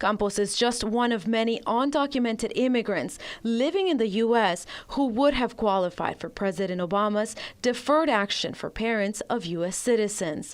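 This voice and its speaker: A woman with a plain, everyday voice speaks at a fairly high pitch and a moderate pace. Her pitch varies in an ordinary way on a very clean recording with a silent background. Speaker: bilingual TV news reporter. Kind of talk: TV news package voiceover.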